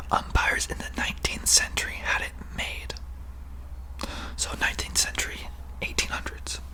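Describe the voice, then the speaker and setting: Whispering in a calm tone at a moderate pace, the speaker is heard over noticeable background noise. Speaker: ASMR content creator. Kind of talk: ASMR whispered fact-reading for sleep. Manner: whispered, calm, relaxing.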